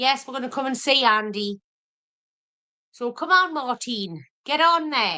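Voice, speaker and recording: Projecting a raised voice in a Geordie accent, a woman with a high pitch and a bright, sharp tone speaks at a fairly slow pace with lively intonation and long, frequent pauses. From Wallsend, Newcastle. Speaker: cooking youtuber. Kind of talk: casual chat.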